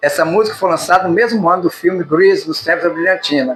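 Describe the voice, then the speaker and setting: A man with a high voice speaks at a fairly quick pace while music plays in the background. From Espírito Santo, Brazil. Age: old. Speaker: author. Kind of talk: reading of his own memoir chronicle.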